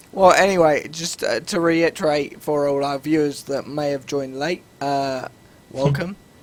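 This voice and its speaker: Against noticeable background noise, a man talks at a moderate pace in a fairly high voice with fairly even intonation. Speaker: gaming podcast host. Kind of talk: casual chat.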